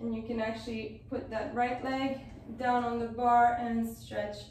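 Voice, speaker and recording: A woman's voice comes through with light background noise and audible room echo. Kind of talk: exercise class instruction. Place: home room. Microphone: camera far.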